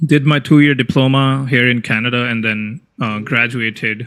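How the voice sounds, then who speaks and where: In a very clean recording with a silent background, a man talks at a moderate pace and medium pitch, his tone bright and sharp and his intonation fairly even. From India. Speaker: software developer and tech YouTuber. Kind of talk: casual interview chat. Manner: hesitant, many fillers and restarts.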